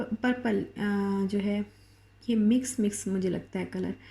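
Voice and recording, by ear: A woman speaks at a fairly slow pace with fairly even intonation. Her tone is dark and mellow, with a slightly husky edge.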